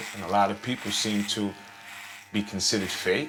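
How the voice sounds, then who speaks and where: A man speaks with a fairly low pitch, with audible room echo and noticeable background noise. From United States. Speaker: homeless man. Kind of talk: interview. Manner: halting.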